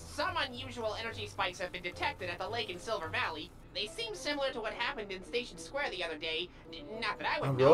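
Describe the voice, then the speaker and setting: A female-sounding, put-on character voice comes across robotic and very fast. Clear background noise runs underneath. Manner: reporting energy spikes.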